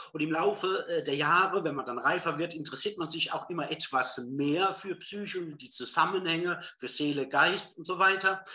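A man with a high pitch and ordinary pitch variation speaks at a moderate pace. He leaves hardly any pauses. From southern Hesse, Germany. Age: 50s. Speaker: former business executive training as psychotherapy practitioner. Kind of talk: interview.

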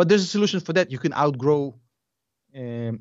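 Talking at a very fast pace, a man has a Russian accent. His voice sits at a fairly high pitch. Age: 30s. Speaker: investing YouTuber. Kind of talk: casual chat.

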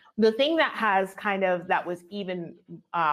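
A woman speaks at a moderate pace in a plain, everyday voice. Her pitch is medium and she has an American accent. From New Jersey. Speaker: agency owner and business coach. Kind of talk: casual interview chat.

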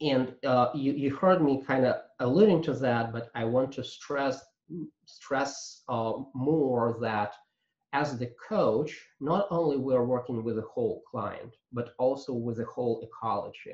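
A man talks at a fairly slow pace in a medium pitch. His voice is somewhat breathy. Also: ordinary pitch variation. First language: not English. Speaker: agile coach and trainer. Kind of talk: webinar presentation. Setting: video call. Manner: halting, many fillers.

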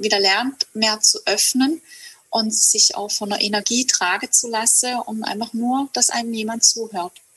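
In a dry, close sound with no echo, a woman talks at a fairly slow pace in a normal speaking voice, fairly high in pitch with fairly even intonation. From southern Germany, Hegau (Lake Constance area). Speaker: herbalist and women's circle leader. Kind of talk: casual interview.

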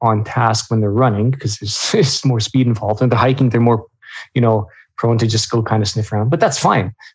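A man speaks at a medium pitch with a Canadian accent, his voice somewhat breathy. His intonation stays fairly even against a quiet background. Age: 40s. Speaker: dog owner and runner. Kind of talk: casual interview chat.

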